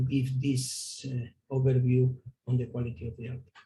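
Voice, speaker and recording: A man's medium-pitched, somewhat breathy voice with a dark, mellow tone and a Spanish accent. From Spain. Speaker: palliative care physician. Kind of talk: lecture. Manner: halting.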